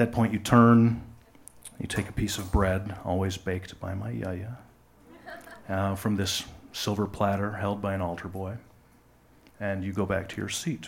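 In an American accent, a man with a fairly low pitch and a somewhat breathy voice speaks at a moderate pace with ordinary pitch variation, long, frequent pauses, and audible room echo. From West Michigan, US. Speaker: live storyteller. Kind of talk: personal story reading on stage. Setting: stage with audience.

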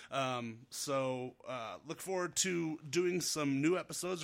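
A man's fairly high, bright, sharp voice with a Northern Nevada accent and fairly even intonation, in a very clean recording against a silent background. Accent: Northern Nevada American. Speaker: podcast host. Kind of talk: casual chat. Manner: casual, friendly.

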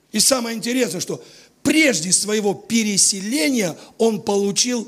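Against noticeable background noise, a man talks very slowly in a high pitch with lively intonation. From Latvia, Riga. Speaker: visiting preacher. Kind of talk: sermon.

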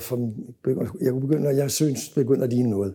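Speaking at a fairly quick pace, a man has a dark, mellow tone, medium pitch and fairly even intonation. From Denmark, Copenhagen. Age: 70s. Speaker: music photographer. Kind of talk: interview storytelling.

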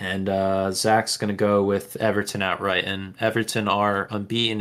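Monotone, flat intonation comes through on a very clean recording with a silent background. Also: man. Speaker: podcast co-host. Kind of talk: casual chat.

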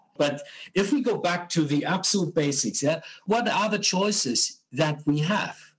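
A man speaks with a German accent. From Germany. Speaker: hydrogen industry association co-founder. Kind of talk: interview. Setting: call. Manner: hesitant, many fillers.

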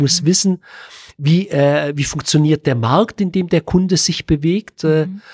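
A man with a fairly high pitch speaks at a moderate pace with ordinary pitch variation, in a dry, close sound with no echo and a very clean recording against a silent background. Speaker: business consultant. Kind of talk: podcast interview. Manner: frequent filler sounds.

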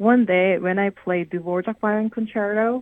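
A woman speaks with a Korean accent at a medium pitch. Her pace is fairly slow. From South Korea. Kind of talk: radio interview. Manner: halting.

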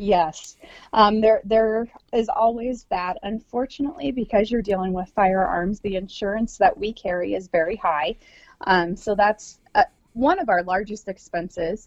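With an American accent, a woman speaks at a moderate pace and medium pitch, using ordinary pitch variation. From US Midwest, South Dakota. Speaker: hunting lodge owner. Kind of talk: interview.

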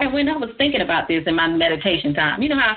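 A woman at a very fast pace, her voice slightly husky at the edge, with big pitch swings. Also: fairly low pitch for a woman.

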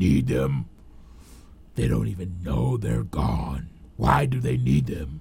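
In a put-on character voice, a man growls with a raspy, very deep, low pitch, going at a fairly slow pace with long, frequent pauses.

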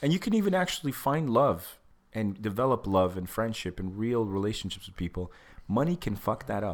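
Fairly low in pitch, a man talks at a fairly quick pace with an animated tone and lively intonation, on a very clean recording with a silent background. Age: 30s. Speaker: podcast co-host. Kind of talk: casual chat.

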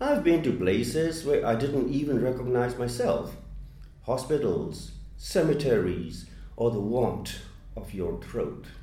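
Noticeable background noise sits behind a man's medium-pitched voice. He talks at a fairly slow pace with lively intonation. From Myanmar. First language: Burmese. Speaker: poet. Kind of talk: interview.

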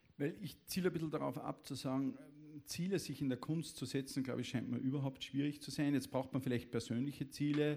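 A man speaks at a fairly quick pace with a dark, mellow tone. His intonation is fairly even. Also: fairly high pitch for a man. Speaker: event moderator. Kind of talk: formal introduction; public stage conversation. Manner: formal.

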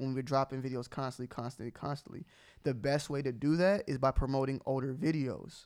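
A man with an American accent, fairly high-pitched and animated, talking at a very fast pace on a very clean recording with a silent background. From Atlanta, US South. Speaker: sneaker YouTuber. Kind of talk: casual chat.

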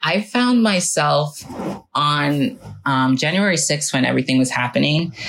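Delivered at a moderate pace, the speech has noticeable background noise behind it. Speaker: podcast co-host, therapist. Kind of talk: casual chat.

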